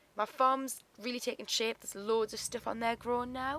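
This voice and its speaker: With a British accent, a woman speaks at a fairly quick pace. Her tone is bright and sharp. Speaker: gaming YouTuber. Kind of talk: gameplay commentary. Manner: casual, relaxed.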